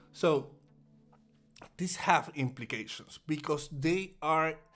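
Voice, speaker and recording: Against music in the background, a man with a Puerto Rican accent and a fairly high pitch speaks at a very slow pace with ordinary pitch variation. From Puerto Rico. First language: Spanish. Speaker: day trader. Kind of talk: live trading stream commentary. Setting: livestream. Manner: halting, many repetitions.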